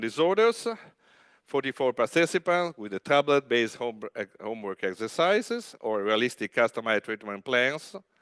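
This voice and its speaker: This man has a medium pitch and an Italian accent, speaking at a fairly quick pace. The sound is dry and close with no echo, over a quiet background. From Italy, Genoa. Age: 50s. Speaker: rehabilitation physician. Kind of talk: conference talk. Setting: stage with audience. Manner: loud; halting.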